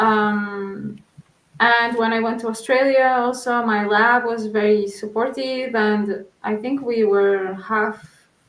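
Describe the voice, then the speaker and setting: At a very slow pace, a woman speaks in monotone, flat intonation with fairly high pitch and audible room echo. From Portugal. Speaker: researcher. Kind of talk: interview.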